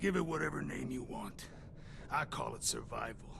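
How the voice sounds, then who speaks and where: A man's put-on character voice at a moderate pace, over loud background noise. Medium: video game. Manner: crude, sardonic.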